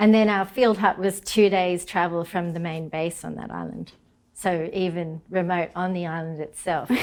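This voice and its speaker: Swinging widely in loudness, a woman with an Australian accent speaks at a moderate pace in a fairly low pitch with fairly even intonation. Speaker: marine ecologist. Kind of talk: interview.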